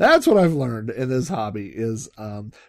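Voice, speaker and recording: In an ordinary speaking voice, the speaker talks at a moderate pace with lively intonation. The recording is very clean, with a silent background. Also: man. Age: 40s. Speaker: podcast host. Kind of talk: solo podcast monologue. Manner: casual, many fillers.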